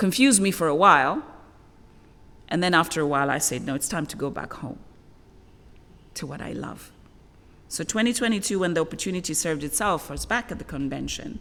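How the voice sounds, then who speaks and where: A woman with a fairly low pitch and a bright, sharp tone with vocal fry talks at a fairly quick pace, her lively intonation broken by long, frequent pauses and big swings in loudness. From Zambia. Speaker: wetland ecologist, international convention head. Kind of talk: keynote speech. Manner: animated.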